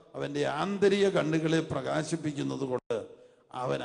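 Over noticeable background noise and audible room echo, a man speaks in an animated tone. His pitch sits fairly high. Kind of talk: sermon. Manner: animated, repeating phrases for the congregation.

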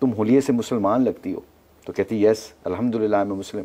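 A man speaks at a moderate pace in a fairly low, dark and mellow voice, his intonation monotone and flat. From Pakistan. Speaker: former cricketer; talk show guest. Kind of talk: personal testimony. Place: studio.

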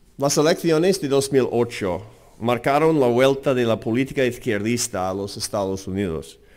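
Lively intonation marks this man's fairly slow delivery. Behind him the background is silent, and the recording is very clean. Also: medium pitch for a man. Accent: American. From US, Seattle. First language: English (speaking Spanish). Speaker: think tank president. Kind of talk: lecture. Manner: halting.

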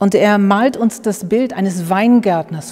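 Against a quiet background, a woman talks very slowly in a dark, mellow tone with ordinary pitch variation. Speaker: pastor. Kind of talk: sermon. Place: church.

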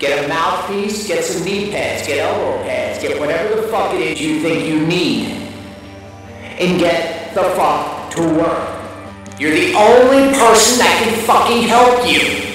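A man at a fairly slow pace, with strong room echo and clear music in the background. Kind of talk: motivational vlog rant. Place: home room. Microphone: phone near.

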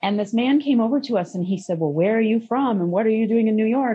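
A woman's somewhat breathy voice moves with lively intonation. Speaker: podcast guest. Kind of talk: interview answer. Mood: reflective, occasional laughs. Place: home room. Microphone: video call.

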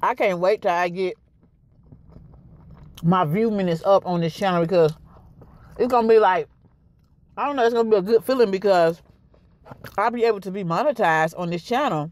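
The speaker talks at a fairly quick pace with ordinary pitch variation. The sound is dry, with no echo. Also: woman. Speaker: food vlogger. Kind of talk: casual vlog chat. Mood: relaxed, candid. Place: car. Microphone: phone near.

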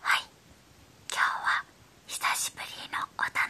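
Whispering at a fairly slow pace, a woman speaks. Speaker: toy unboxing creator. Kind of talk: whispered ASMR toy unboxing. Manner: whispered. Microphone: phone near.

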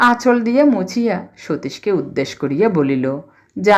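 The speaker reads a text out loud. It is done in a natural voice.

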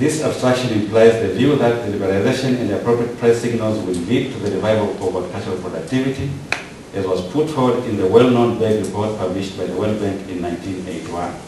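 Over light background noise and audible room echo, a man speaks fairly quickly in a fairly low voice. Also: ordinary pitch variation. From Tanzania. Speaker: PhD candidate. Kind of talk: prepared academic presentation. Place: hall.

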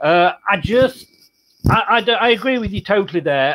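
A man talks at a moderate pace with a fairly bright tone.

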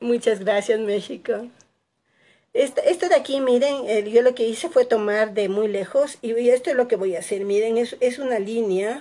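A woman speaks with a fairly high pitch and a dark, mellow tone. Her pitch varies in an ordinary way. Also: moderate pace. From Ecuador, Quito; Ecuador. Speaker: painting teacher. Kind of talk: live tutorial. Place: home room. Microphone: phone near.

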